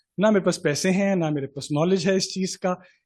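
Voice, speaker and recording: Speaking with a Pakistani accent, a man has a high pitch and a moderate pace. The background is quiet. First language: Urdu. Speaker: chartered accountant, committee chairman. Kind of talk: seminar talk with personal anecdote. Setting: stage with audience.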